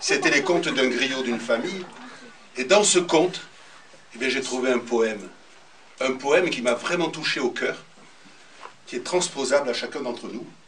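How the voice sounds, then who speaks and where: Over noticeable background noise, a man speaks at a moderate pace in a fairly high pitch with ordinary pitch variation, leaving long, frequent pauses. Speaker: storyteller. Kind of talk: spoken introduction to a live audience.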